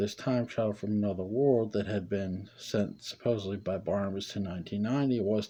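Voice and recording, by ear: The text is being read aloud. It comes in a natural voice.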